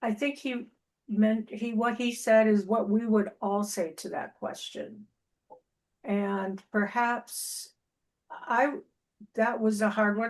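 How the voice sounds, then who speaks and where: A woman's fairly high voice at a very slow pace, fairly even in intonation, with long, frequent pauses. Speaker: club member. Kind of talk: impromptu evaluation. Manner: halting.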